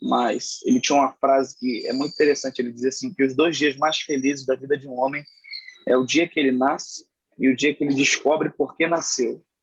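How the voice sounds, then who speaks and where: This man has an ordinary speaking voice at a fairly high pitch, moving at a moderate pace. The sound is dry and close, without echo. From Rio de Janeiro, Brazil. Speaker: preacher. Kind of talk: interview testimony.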